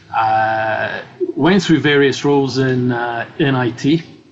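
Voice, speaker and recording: With a Scottish accent, a man speaks at a medium pitch over noticeable background noise. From Scotland. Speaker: cybersecurity executive. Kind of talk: interview. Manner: halting.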